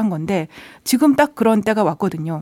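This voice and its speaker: A woman's dark, mellow voice at a medium pitch, with a fairly quick pace. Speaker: newspaper reporter. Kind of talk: radio economics news talk.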